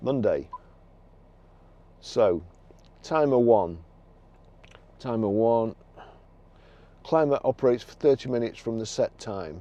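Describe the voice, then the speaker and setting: Speaking with a Lancashire accent, a man has a dark, mellow tone at medium pitch, with lively intonation and big swings in loudness. He goes at a fairly slow pace with long, frequent pauses. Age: 60s. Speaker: car dealer. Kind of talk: product demonstration. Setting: in a car. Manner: halting.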